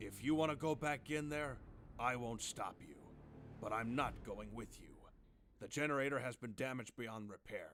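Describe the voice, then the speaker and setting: In a raspy, put-on character voice, a man speaks at a medium pitch and moderate pace with ordinary pitch variation, big swings in loudness, and long, frequent pauses. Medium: machinima.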